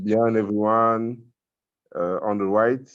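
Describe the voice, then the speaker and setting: In a quiet setting, a man speaks at a fairly slow pace with a fairly low pitch. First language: French. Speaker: Rotaract club member presenting abroad. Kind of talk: online conference presentation and Q&A. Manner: halting.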